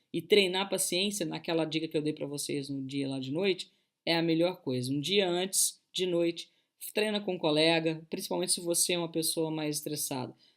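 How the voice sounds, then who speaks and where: The woman's voice sits fairly low. It shows ordinary pitch variation. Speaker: coach. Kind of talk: online talk. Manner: fast; animated.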